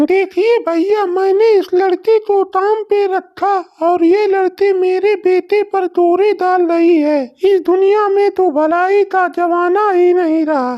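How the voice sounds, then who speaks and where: A woman uses a cartoonish character voice at an extremely high pitch. She talks fairly slowly with fairly even intonation and hardly any pauses. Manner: harsh, scolding.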